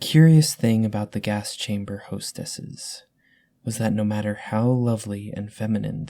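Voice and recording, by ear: Fairly even intonation marks this reading aloud in a natural voice.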